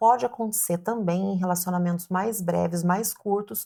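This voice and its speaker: Dark, mellow female voice at a moderate pace, with ordinary pitch variation and a very clean recording over a silent background. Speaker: family lawyer. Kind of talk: legal explainer video. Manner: clear and simple.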